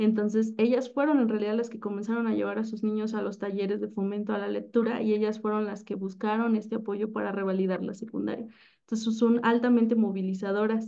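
Against a quiet background, a woman with a fairly high yet dark, mellow voice speaks very fast in a flat monotone with hardly any pauses. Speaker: science and math teacher; math teacher. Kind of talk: webinar presentation; lecture presentation. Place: home room. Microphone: video call.

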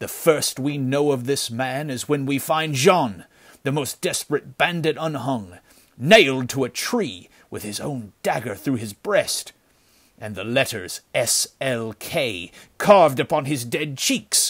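A man performs a put-on character voice at medium pitch and a fairly slow pace, with lively intonation and big swings in loudness, on a very clean recording with a silent background. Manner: sullen, gloomy, fearful.

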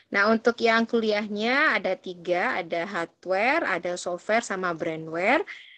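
Against a quiet background, a woman talks at a fairly slow pace in a bright, sharp tone with ordinary pitch variation. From Banyuwangi, East Java, Indonesia; East Java, Indonesia. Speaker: university lecturer. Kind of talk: lecture. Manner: casual. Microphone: video call.

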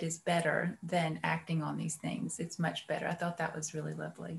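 The woman's voice is somewhat breathy. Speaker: meditation student. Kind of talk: reading aloud and discussion. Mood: thoughtful, appreciative. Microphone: video call.

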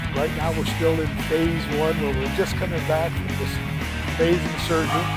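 Against loud background music, a man speaks at a moderate pace with a dry sound and no echo. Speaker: bodybuilder vlogger. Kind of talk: casual vlog chat during workout. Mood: grateful, motivational. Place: gym. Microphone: lapel.

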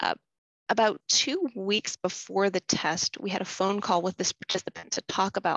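Over a quiet background, a woman with vocal fry talks at a fairly quick pace and medium pitch in a dry sound with no echo. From United States. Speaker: inclusive design researcher. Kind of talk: webinar presentation. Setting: video call. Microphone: webcam.

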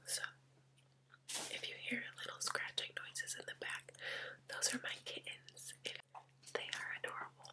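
The speaker whispers at a moderate pace. Long pauses come often. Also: woman. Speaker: ASMR creator. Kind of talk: ASMR eating video talk. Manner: whispered. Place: home room.

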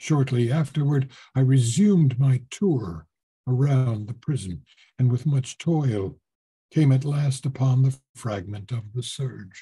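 A man's somewhat breathy, dark, mellow voice at a fairly slow pace, with ordinary pitch variation and a quiet background. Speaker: voice actor. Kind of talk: audiobook reading of a horror short story. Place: home room. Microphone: webcam.

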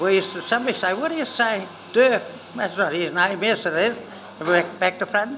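Projecting a raised voice with an Australian accent, a man with a high pitch speaks at a fairly quick pace with lively intonation over light background noise. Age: 80s+. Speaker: Men's Shed member, storyteller. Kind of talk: casual interview answer. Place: workshop.

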